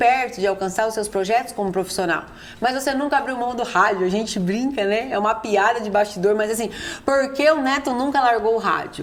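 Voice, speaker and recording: With noticeable background noise, a woman speaks at a moderate pace in a fairly high voice with ordinary pitch variation. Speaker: podcast interviewer, radio colleague and wife of the guest. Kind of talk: interview questions in a podcast.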